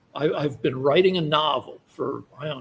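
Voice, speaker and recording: A man with an American accent talks at a fairly slow pace in a fairly high pitch. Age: 60s. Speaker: podcast co-host. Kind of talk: casual chat. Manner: animated.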